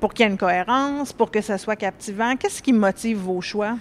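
A woman's fairly high pitch, with ordinary pitch variation, comes across over noticeable background noise. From Quebec, Laurentides. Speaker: panel moderator. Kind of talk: moderated panel discussion. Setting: live-streamed panel at book fair.

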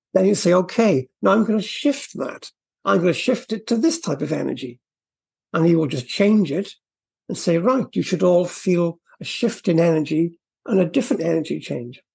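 Husky and rough-edged, a man's high voice carries vocal fry and lively intonation. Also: moderate pace, slightly mellow tone.

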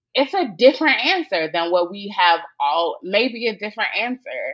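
Speaking at a fairly slow pace, a woman with an American accent swings her pitch very widely. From US South. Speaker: theologian and podcaster. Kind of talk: interview conversation.

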